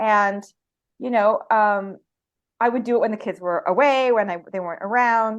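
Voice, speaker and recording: A woman with a Canadian accent, a plain, everyday voice, fairly high pitch, fairly even intonation and a moderate pace, in a quiet background. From Canada. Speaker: photographer. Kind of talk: interview answer. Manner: casual, conversational.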